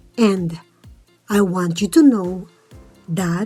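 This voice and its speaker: Music plays in the background as a woman speaks at a very slow pace with a calm, gentle tone, a medium pitch and ordinary pitch variation. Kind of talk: reflective vlog voiceover.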